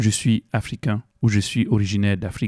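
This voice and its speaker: In a Cameroonian accent, a man speaks at a moderate pace with a dark, mellow tone, fairly low pitch, and fairly even intonation, on a very clean recording with a silent background and a dry, close sound with no echo. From Cameroon, west (Bamoun region). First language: Bamoun (speaking French). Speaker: video essayist, student. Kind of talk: educational video essay. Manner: hesitant, many fillers.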